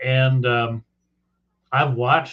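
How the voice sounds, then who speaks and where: A man talks in a somewhat breathy voice. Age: 60s. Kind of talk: casual chat.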